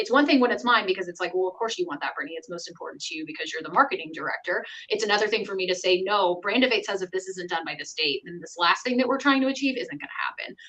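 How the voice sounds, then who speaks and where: The speech races along at a very fast pace, with lively intonation and big jumps in loudness. Noticeable background noise sits behind it. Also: woman, medium pitch for a woman. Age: 30s. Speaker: sales and marketing director. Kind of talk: casual chat.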